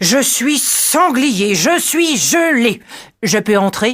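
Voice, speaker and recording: A female-sounding voice puts on a gruff character voice, high in pitch. It moves at a very slow pace. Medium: read story.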